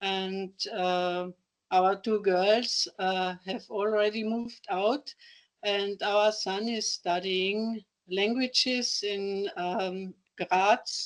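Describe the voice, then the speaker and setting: Against a quiet background, a woman speaks very slowly at medium pitch with fairly even intonation. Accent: Austrian. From Austria, Carinthia. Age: 60s. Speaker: retired teacher, table tennis player with Parkinson's. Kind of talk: interview. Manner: halting.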